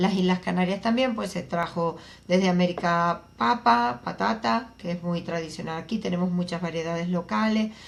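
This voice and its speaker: A woman speaks at a medium pitch at a fairly slow pace. Her voice is somewhat breathy, with ordinary pitch variation. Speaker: agricultural researcher. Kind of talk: interview.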